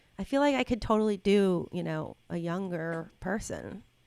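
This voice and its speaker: A woman speaks in an ordinary speaking voice at a medium pitch with ordinary pitch variation, on a very clean recording with a silent background. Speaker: voiceover actor. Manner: casual, conversational.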